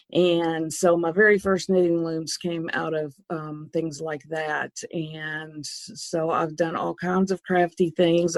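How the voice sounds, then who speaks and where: Speaking with an Arkansas accent, a woman keeps a fairly low pitch. She talks very slowly in a flat monotone. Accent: Arkansas Southern. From US South, Arkansas. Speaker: loom designer. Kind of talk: interview.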